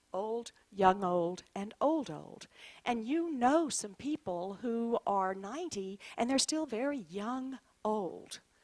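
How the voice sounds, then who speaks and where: Fairly high in pitch and lively in intonation, a woman speaks in an unremarkable speaking voice. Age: 60s. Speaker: clinical social worker and author. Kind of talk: presentation to an audience.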